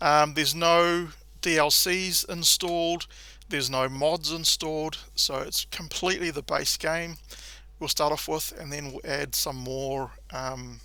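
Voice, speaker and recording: With a New Zealand accent, a man speaks at a fairly high pitch in a bright, sharp tone. His pace is fairly slow and his intonation fairly even. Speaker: gaming tutorial creator. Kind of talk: tutorial. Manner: casual, frequent filler 'um'.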